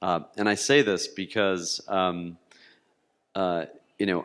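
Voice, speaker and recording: A man talks fairly slowly at a fairly low pitch, his intonation fairly even. The recording is very clean with a silent background. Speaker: marketing executive, panelist. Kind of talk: panel discussion. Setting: stage with audience.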